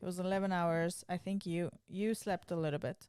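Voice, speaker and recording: A woman's fairly low-pitched, dark, mellow voice at a moderate pace. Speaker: podcast co-host. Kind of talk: casual chat. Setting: recorded lying in bed. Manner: loud.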